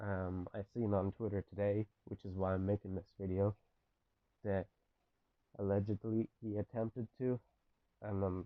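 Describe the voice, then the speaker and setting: A shaky man speaks at a moderate pace in a fairly low pitch, his intonation monotone and flat. Long, frequent pauses break up his speech. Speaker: gaming commentator. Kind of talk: video essay. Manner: shaky voice; impassioned.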